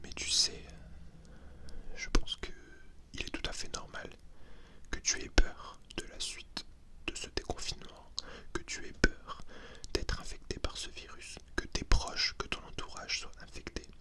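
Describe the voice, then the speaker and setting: Whispering at a fairly slow pace, with long, frequent pauses and noticeable background noise. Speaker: ASMR content creator. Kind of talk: ASMR roleplay talking to the listener. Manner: whispered, soft-spoken.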